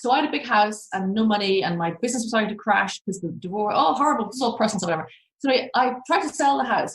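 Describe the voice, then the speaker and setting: This woman has an Irish accent and a fairly high pitch. Her intonation is lively, and her voice is somewhat breathy. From Ireland. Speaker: crypto journalist. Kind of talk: podcast interview answer.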